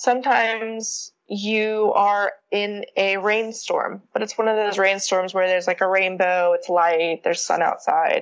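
A woman's medium-pitched voice at a fairly slow pace, with hardly any pauses, very even loudness and fairly even intonation. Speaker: podcast interview guest. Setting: long-distance remote interview.

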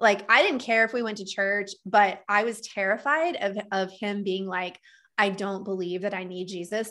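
Bright and sharp in tone, a woman with an American accent speaks at a moderate pace in a medium pitch with ordinary pitch variation, on a very clean recording with a silent background. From US South, Texas. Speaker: trauma educator and coach. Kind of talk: casual interview, personal story.

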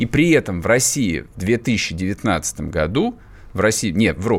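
The man's voice is fairly low in pitch. His tone is animated. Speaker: radio host. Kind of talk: casual radio talk show. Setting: studio. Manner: sarcastic, animated.

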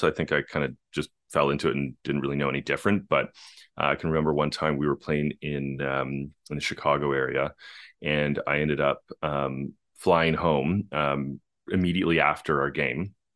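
The intonation stays fairly even, with vocal fry throughout. The pace is moderate. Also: man. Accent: Canadian. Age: 40s. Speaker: biotech company co-founder, former pro baseball player. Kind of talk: interview.

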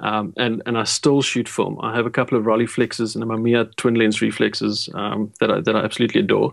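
Very fast and with hardly any pauses, a man speaks at a medium pitch. His intonation is fairly even, with vocal fry. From South Africa, Port Elizabeth. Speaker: photographer. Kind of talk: interview.

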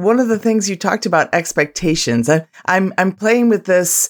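Here is a woman with an ordinary speaking voice at medium pitch and lively intonation. She talks at a moderate pace on a very clean recording with a silent background. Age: 50s. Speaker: podcast co-host. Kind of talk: podcast interview.

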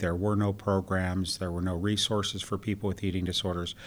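On a very clean recording with a silent background, a man with an American accent speaks at a moderate pace. His pitch is very deep and low, with fairly even intonation. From Western Pennsylvania. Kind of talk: interview. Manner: halting, many fillers.

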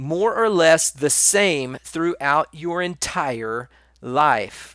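On a very clean recording with a silent background, a man speaks very slowly with lively intonation. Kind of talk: monologue talk on personal growth and spirituality. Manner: casual, conversational with many fillers; wide pitch variation.

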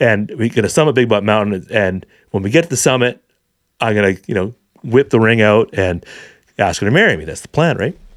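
A man with a Canadian accent speaks in a normal speaking voice at a fairly quick pace. His fairly low pitch moves with lively intonation. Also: big swings in loudness. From Vancouver, British Columbia, Canada. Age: 40s. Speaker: hunting educator. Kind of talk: casual chat.

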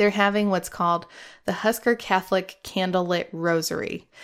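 A woman uses an ordinary speaking voice with an American accent, medium pitch and fairly even intonation. The recording is very clean, with a silent background. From US Midwest, Omaha, Nebraska. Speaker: podcast host. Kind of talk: casual monologue.

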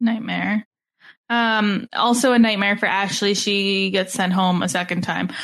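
A woman speaks at a fairly slow pace with fairly even intonation. Hers is an unremarkable speaking voice. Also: medium pitch for a woman. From Canada. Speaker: podcast host. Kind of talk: casual chat.

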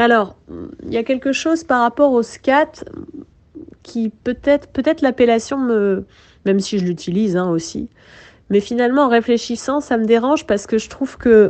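A woman talks in a fairly high voice with ordinary pitch variation. Her moderate pace is broken by long, frequent pauses. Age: 30s. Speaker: jazz singer. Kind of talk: interview. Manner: halting, many hesitations.

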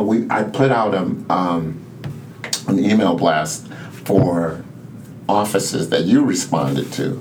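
A man with an American accent talks at a very slow pace. Noticeable background noise sits behind him. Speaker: community center co-founder. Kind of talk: casual interview conversation. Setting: in person at the center.

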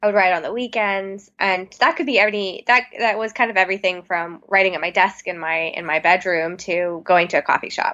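A woman's medium-pitched, unremarkable speaking voice with ordinary pitch variation, a fairly quick pace and hardly any pauses. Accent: American. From Texas (Plano, Dallas suburb). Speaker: author. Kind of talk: interview.

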